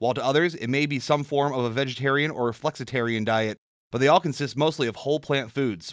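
A man with a plain, everyday voice and a fairly high pitch talks at a fairly quick pace against a quiet background. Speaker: sports reporter and co-host. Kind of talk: sports news reading and casual radio chat. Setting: radio studio.

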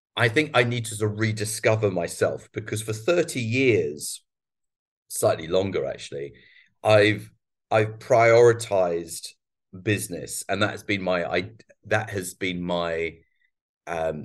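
In a quiet background, a man with a fairly low pitch speaks at a fairly slow pace using lively intonation. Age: 50s. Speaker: business trainer and entrepreneur. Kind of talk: interview. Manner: halting, many fillers and restarts.

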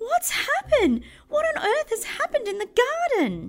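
A put-on character voice, shrill and squeaky at an extremely high pitch, moves at a moderate pace with very wide pitch swings. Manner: alarmed, frantic.

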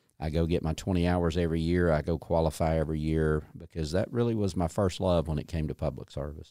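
Very fast and with hardly any pauses, the speech has a dark, mellow tone and fairly even intonation, in a very clean recording with a silent background. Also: man, very deep, low pitch for a man. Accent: Southern US. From US South, north Georgia (Dawson County). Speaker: state agency commissioner. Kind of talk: interview.

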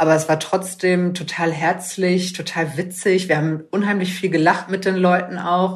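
In a room with audible echo, a woman speaks at a moderate pace with a fairly low pitch, a somewhat breathy quality and monotone, flat intonation. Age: 20s. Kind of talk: interview. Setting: video call.

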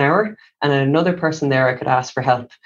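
A man speaks with an Irish accent. His pace is moderate and his pitch varies in an ordinary way. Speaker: doctor. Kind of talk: interview. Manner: calm.

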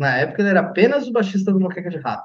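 A man speaks in a high voice. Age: 40s. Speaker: rock musician, singer and guitarist. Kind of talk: casual chat.

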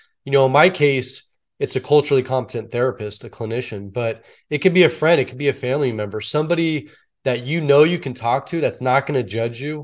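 In an ordinary speaking voice, a man with a General American accent talks at a fairly quick pace and medium pitch with ordinary pitch variation and big swings in loudness over a quiet background. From US West Coast, San Francisco Bay Area. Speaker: retired police officer and public speaker. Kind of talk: interview.

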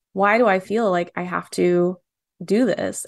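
Using a normal speaking voice, a woman with an American accent talks at medium pitch with fairly even intonation. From Michigan, Dearborn. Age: 20s. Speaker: cartoonist. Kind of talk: casual chat.

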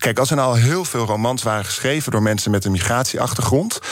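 A man with a medium pitch speaks fairly quickly, his pitch showing ordinary variation. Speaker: writer and opinion maker. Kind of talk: radio interview. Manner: heated, agitated.

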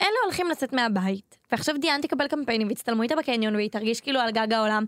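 Lively in intonation, a woman with a high pitch is heard on a very clean recording with a silent background and a dry, close sound with no echo. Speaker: entertainment podcast co-host. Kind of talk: casual chat.

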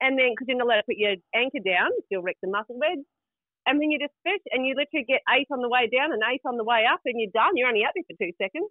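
A woman talks very fast in a New Zealand accent at a high pitch. Her tone is animated and her intonation lively. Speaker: caller. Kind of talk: casual chat. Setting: phone call.

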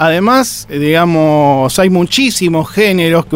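A man with a high pitch talks at a fairly slow pace. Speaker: podcast host. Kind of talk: casual interview.

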